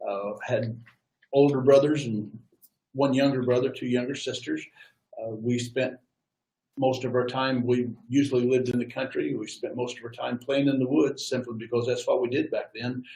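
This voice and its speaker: A man's somewhat breathy voice with a dark, mellow tone, a medium pitch and monotone, flat intonation. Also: moderate pace. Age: 70s. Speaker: war veteran. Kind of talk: interview.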